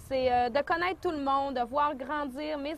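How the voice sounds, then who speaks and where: Speaking with a Lac-Saint-Jean accent, a woman uses a high pitch and fairly even intonation. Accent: Lac-Saint-Jean Quebec French. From Quebec, Lac-Saint-Jean region. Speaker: returning migrant entrepreneur. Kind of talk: testimony.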